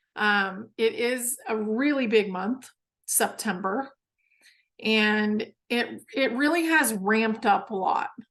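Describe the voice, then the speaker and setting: A woman's fairly high-pitched voice. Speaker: spiritual teacher. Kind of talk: audience Q&A monologue. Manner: casual, filler-heavy.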